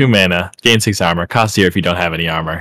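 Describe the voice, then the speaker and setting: A man's put-on character voice, very deep and low in pitch, delivered at a very fast pace on a very clean recording with a silent background. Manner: impish.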